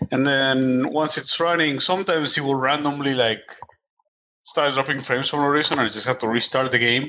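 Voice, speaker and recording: A man's unremarkable speaking voice at a fairly high pitch, fairly quick in pace, with fairly even intonation and very even loudness. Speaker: video game podcast panelist. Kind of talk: casual chat.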